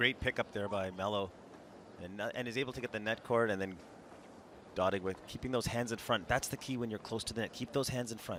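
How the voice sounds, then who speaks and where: This is an unremarkable speaking voice. A man talks fairly quickly at a medium pitch. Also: fairly even intonation. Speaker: tennis commentator. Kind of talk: live sports commentary, expert analyst reel.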